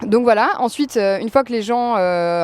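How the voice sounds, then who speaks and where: At a fairly quick pace, a woman with a plain, everyday voice speaks with ordinary pitch variation. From Normandy, France. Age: 20s. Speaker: home-restaurant cook and entrepreneur. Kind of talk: podcast interview. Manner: casual, with frequent fillers (euh).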